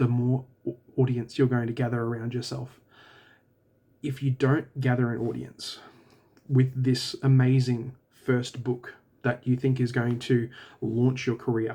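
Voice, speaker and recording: A man's dark, mellow, somewhat breathy voice, monotone and flat, at a fairly slow pace with long, frequent pauses. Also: medium pitch for a man. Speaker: indie author and video creator. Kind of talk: casual talking-head monologue. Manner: halting, with false starts.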